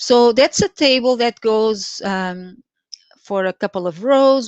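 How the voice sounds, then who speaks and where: A woman with a Portuguese accent talks very slowly, with ordinary pitch variation. The sound is dry and close with no echo, over a quiet background. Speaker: Excel trainer. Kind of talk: live tutorial. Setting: live stream. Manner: halting, many fillers.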